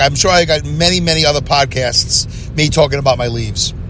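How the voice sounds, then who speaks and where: A man in a New York accent, with noticeable background noise. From Brooklyn, New York. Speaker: podcast host. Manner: loud, fast talker.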